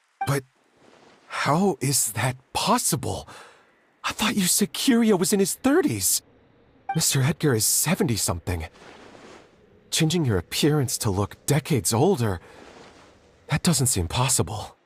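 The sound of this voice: Putting on a character voice, a man speaks at medium pitch with a husky, rough edge, big pitch swings, a fairly slow pace, and long, frequent pauses.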